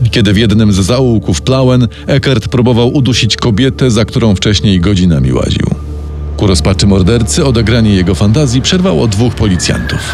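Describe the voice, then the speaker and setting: Over music in the background, a man with a fairly low pitch delivers a dramatic tone at a fairly quick pace, his intonation lively and his loudness very even. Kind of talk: true-crime narration. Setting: studio. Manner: grave, measured storytelling, dramatic and suspenseful.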